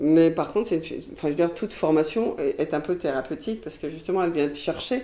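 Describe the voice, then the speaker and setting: A woman speaks at a very fast pace. Her tone is dark and mellow, with ordinary pitch variation. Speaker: hypnotherapist and trainer. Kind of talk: interview. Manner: hesitant, with fillers.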